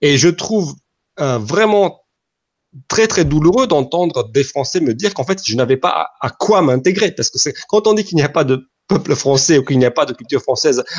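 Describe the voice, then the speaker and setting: A man with a fairly high pitch talks with lively intonation, keeping a moderate pace. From Romania. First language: Romanian (speaking French). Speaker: podcast co-host. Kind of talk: conversational interview discussion.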